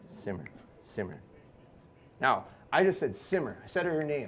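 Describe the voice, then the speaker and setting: A man talks loudly at a fairly high pitch. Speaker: dog trainer. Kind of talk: live seminar demonstration. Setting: live audience, about fifty people. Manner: fast.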